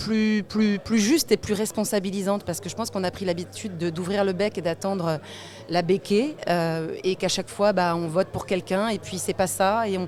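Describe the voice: A woman's medium-pitched voice with a slightly mellow tone and fairly even intonation.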